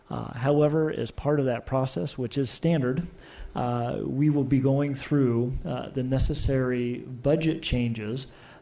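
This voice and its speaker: In a room with audible echo, a man speaks at a medium pitch with a dark, mellow tone and fairly even intonation. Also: fairly slow pace. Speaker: city finance officer. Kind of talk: council presentation. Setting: council chamber. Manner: soft-spoken; halting, many fillers.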